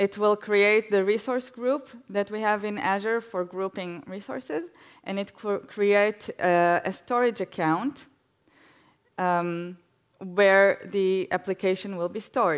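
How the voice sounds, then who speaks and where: A woman speaks at a fairly slow pace with a medium pitch and ordinary pitch variation over a quiet background. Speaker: guest speaker giving a demo; guest. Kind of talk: live demo on stage. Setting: stage with audience. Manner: hesitant, filler words. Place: stage.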